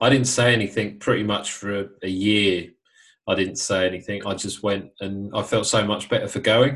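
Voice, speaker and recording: In a British accent, a man speaks at a moderate pace with a fairly low pitch and fairly even intonation, in a very clean recording with a silent background. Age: 30s. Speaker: podcast host, sober life coach. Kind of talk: casual interview.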